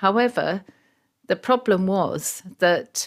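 A woman speaks with a southern English accent. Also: very clean recording, silent background. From England, rural Surrey. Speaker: pediatric gastroenterologist. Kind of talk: interview.

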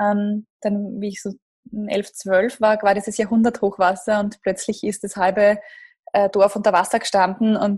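At a moderate pace, a woman speaks with a medium pitch, somewhat breathy, in a monotone, flat intonation against a quiet background. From Lower Austria, near Krems. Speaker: startup managing director. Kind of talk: interview.

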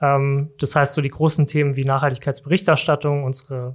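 A man with an unremarkable speaking voice, fairly high pitch and a moderate pace on a very clean recording with a silent background. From Germany, Saarland. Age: 30s. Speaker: corporate sustainability manager. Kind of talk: casual interview. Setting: studio.

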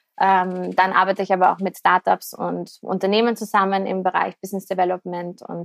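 Medium in pitch, a woman speaks in monotone, flat intonation with hardly any pauses, the sound dry and close with no echo. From Austria, Vienna. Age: 30s. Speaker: business podcast host and entrepreneur. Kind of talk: podcast intro monologue; casual interview chat.

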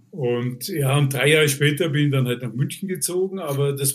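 Somewhat breathy, a man talks at a medium pitch and a moderate pace. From Vienna, Austria. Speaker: concert stage manager. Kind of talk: casual interview.

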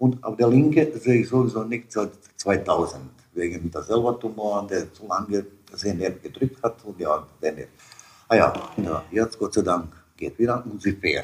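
A man at medium pitch and moderate pace, with ordinary pitch variation, big swings in loudness, and noticeable background noise. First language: Serbo-Croatian (speaking German). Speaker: immigrant father. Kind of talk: interview storytelling. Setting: at home. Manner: halting.

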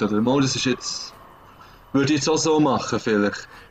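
Somewhat breathy, a man in a Swiss accent talks at a fairly quick pace. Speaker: podcast co-host. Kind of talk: casual chat. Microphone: laptop internal microphone.

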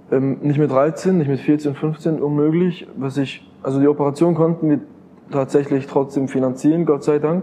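A man with a fairly high pitch speaks at a moderate pace in a monotone, flat delivery. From Switzerland, canton of Bern. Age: 20s. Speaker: crypto investor and entrepreneur. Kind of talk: interview.

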